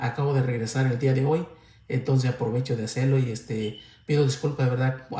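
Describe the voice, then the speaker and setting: There is audible room echo as a man with a fairly high pitch speaks with ordinary pitch variation. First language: Mixtec (speaking Spanish). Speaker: lay preacher. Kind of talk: livestream sermon closing. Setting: livestream. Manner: halting.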